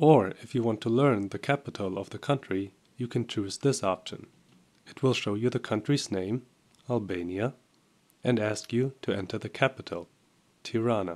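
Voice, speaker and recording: A man speaks at a medium pitch and a moderate pace, with long, frequent pauses. His pitch varies in an ordinary way, and the recording is very clean with a silent background. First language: German. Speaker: software tutorial presenter. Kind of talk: tutorial.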